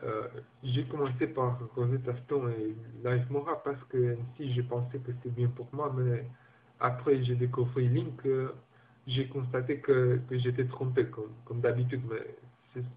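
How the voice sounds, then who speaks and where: A man with a non-native accent speaks at a fairly slow pace. His voice is somewhat breathy, with monotone, flat intonation. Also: medium pitch for a man. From Guinea. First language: not French (speaking French). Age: 20s. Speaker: language learner. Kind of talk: personal testimony. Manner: halting, many repetitions and hesitations.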